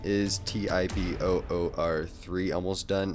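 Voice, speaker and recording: A man with a very deep, low pitch, over music in the background. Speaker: YouTube animator answering fan questions. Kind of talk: casual Q&A monologue. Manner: halting, stuttering with many fillers.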